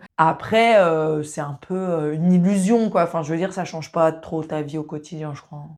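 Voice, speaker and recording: A woman talks at a moderate pace in a fairly low pitch. The recording is very clean, with a silent background. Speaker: sex therapist and video host. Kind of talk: casual monologue to camera. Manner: casual, hesitant with fillers.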